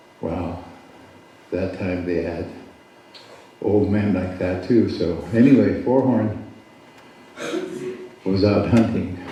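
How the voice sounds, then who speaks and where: With audible room echo, a man speaks very slowly in a very deep, low pitch with ordinary pitch variation and long, frequent pauses. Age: 70s. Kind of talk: storytelling at a community gathering; address to gathering.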